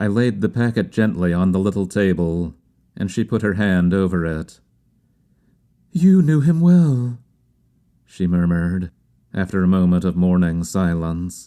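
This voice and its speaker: Over a silent background in a very clean recording, a man speaks fairly slowly in a very deep, low voice with a dark, mellow tone, ordinary pitch variation and long, frequent pauses. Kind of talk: audiobook reading.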